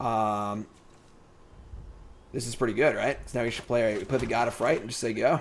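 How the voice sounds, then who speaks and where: Long, frequent pauses break up the speech, and the loudness swings widely. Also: man, medium pitch for a man. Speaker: streamer playing card game. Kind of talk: live gameplay commentary. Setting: live stream. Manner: fast; casual.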